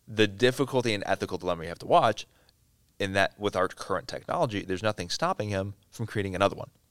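A man with an American accent, fairly low pitch and ordinary pitch variation, talking at a very fast pace in a very clean recording with a silent background and dry, close sound with no echo. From southeast Wisconsin, US Midwest. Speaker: business executive. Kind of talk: interview.

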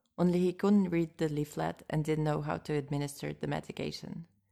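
A woman with a Russian accent speaks at a fairly quick pace in a dark, mellow tone with a very deep, low pitch. Her intonation is fairly even, and the recording is very clean with a silent background. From Moscow, Russia. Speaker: podcast host and interpreter. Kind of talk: scripted narration, podcast monologue.

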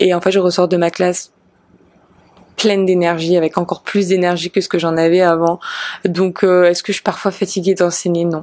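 A woman's fairly low voice, flat and monotone, at a moderate pace with long, frequent pauses. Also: very even loudness. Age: 30s. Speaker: yoga teacher and podcast host. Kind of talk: casual Q&A monologue.

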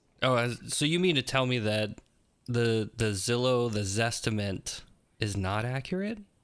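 On a very clean recording with a silent background, a man with an ordinary speaking voice talks fairly slowly at a medium pitch, with ordinary pitch variation and very even loudness. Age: 40s. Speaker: podcast host and realtor. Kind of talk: casual chat.

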